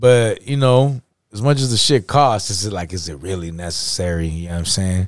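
Here is a man with an ordinary speaking voice, pitched fairly low. His intonation is lively and his pace fairly quick. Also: big swings in loudness. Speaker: podcast co-host. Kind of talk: casual banter about hip hop. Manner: laid-back, profane, filler-heavy.

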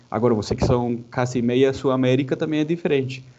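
A man speaks with a Spanish accent. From Colombia, Santa Marta (Caribbean coast). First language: Spanish (speaking Portuguese). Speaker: mechanical engineer. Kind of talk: interview. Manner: halting.

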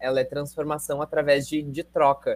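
A man's fairly high, plain, everyday voice at a moderate pace, dry and close with no echo. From Rio Grande do Sul, Brazil. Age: 20s. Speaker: actor, singer and dancer. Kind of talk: interview.

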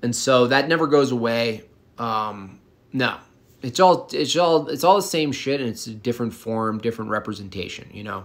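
A man with an ordinary speaking voice at a medium pitch and moderate pace, lively intonation and big swings in loudness. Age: 40s. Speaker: livestreamer and artist answering chat. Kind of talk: casual chat.

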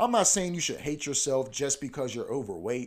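Using a normal speaking voice, a man talks at a moderate pace with fairly high pitch and lively intonation, in a very clean recording with a silent background. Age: 20s. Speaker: podcast host. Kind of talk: solo casual monologue. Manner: casual, filler-heavy.

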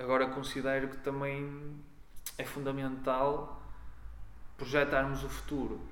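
Long, frequent pauses break up a man's monotone, flat delivery at a fairly slow pace and medium pitch. The room gives an audible echo. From northern Portugal, near Guimarães. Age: 30s. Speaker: sociologist and local political candidate. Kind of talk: interview. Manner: halting, with repetitions.

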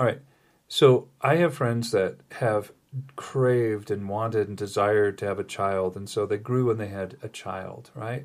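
A man's normal speaking voice, fairly low in pitch, at a fairly slow pace with big swings in loudness, in a very clean recording with a silent background. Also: ordinary pitch variation. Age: 60s. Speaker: spiritual podcast host. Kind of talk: casual spiritual chat.

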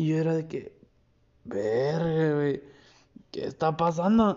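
A man with a Mexican accent speaks in an animated tone at a fairly high pitch. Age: 20s. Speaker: podcast host. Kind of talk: solo podcast monologue. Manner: casual, animated.

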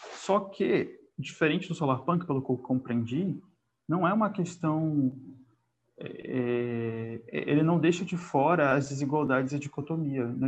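A man with a fairly high voice talks fairly slowly, his pitch varying in an ordinary way. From Brazil, Northeast (Piauí), raised in several states. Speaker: podcast co-host. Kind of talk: casual book discussion. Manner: hesitant, many fillers.

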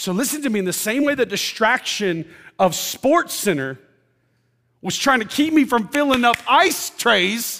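At a fairly slow pace, a man uses a raised, projected voice at an extremely high pitch, with an animated tone and lively intonation. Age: 40s. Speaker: pastor. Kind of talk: sermon. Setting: church.

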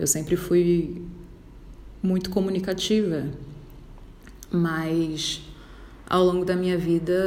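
The speaker delivers a flat monotone at a fairly slow pace, with audible room echo. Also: woman. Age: 20s. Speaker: podcaster. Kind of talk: personal monologue.

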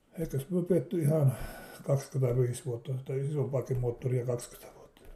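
A fairly high-pitched man at a fairly slow pace, with ordinary pitch variation over noticeable background noise. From Finland, Savonlinna area (Saimaa islands). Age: 70s. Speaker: interviewee recalling childhood. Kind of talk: casual reminiscence interview. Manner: halting, with fillers.

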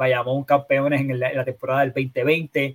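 A man speaks at a moderate pace in a fairly high pitch, somewhat breathy. The sound is dry and close, with no echo. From Puerto Rico, Bayamón. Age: 30s. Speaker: sports podcaster. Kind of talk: casual chat.

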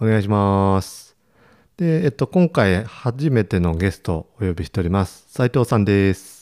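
Here a man with a fairly low pitch talks at a moderate pace, his intonation lively and his loudness swinging widely. The sound is dry and close with no echo, in a very clean recording over a silent background. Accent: Ishikawa. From Ishikawa, Japan. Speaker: rice farmer and podcast host. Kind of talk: casual chat.

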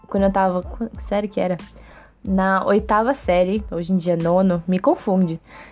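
A woman speaks at a moderate pace with a medium pitch and fairly even intonation. Music plays in the background. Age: 20s. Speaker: podcast host. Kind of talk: casual monologue.

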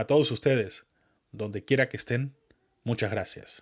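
The very clean recording, with a silent background, captures a man speaking at a medium pitch. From Venezuela. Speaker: podcast host. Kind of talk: scripted monologue.

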